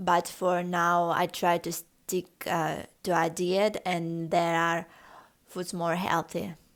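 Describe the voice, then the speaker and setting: With a Russian accent, a woman speaks very slowly in a fairly low pitch with monotone, flat intonation. The recording is very clean, with a silent background. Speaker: lifestyle vlogger. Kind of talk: casual vlog tutorial. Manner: halting, with fillers.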